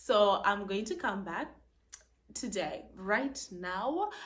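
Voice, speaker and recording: Bright and sharp, a woman's medium-pitched voice carries an animated tone, with audible room echo. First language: not English. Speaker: plant video creator. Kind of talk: casual tutorial.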